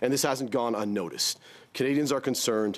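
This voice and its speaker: A man talks with ordinary pitch variation. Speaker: business association executive. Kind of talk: parliamentary committee testimony. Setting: parliamentary committee hearing with interpretation. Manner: fast.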